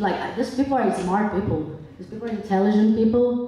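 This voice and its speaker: A woman speaks in a Brazilian accent, fairly high in pitch with ordinary pitch variation. Noticeable background noise and audible room echo fill the recording. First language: Portuguese. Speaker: public commenter at town hearing. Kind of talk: public comment at hearing. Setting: public hall with audience. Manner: impassioned.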